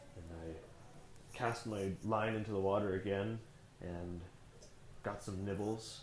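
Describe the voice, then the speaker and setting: At a very slow pace, a man with a fairly low pitch speaks in a flat monotone, with audible room echo around him. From Canada. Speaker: comic book artist. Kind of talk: storytelling interview.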